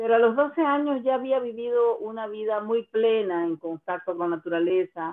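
A woman with an ordinary speaking voice talks at a moderate pace, her fairly high pitch carried by lively intonation. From Costa Rica, Guanacaste. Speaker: singer-songwriter. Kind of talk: interview.

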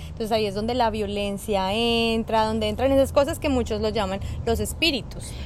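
Noticeable background noise mixes with audible room echo throughout the clip. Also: woman, fairly quick pace. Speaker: podcast co-host. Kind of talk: casual chat. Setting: outdoors.

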